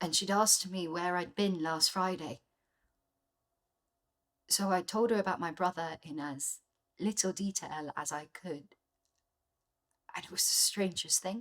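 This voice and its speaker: A woman speaks at medium pitch and a fairly slow pace, with long, frequent pauses. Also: ordinary pitch variation. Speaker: actor, drama school graduate. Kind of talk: contemporary theatre monologue. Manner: casual, conversational, reflective.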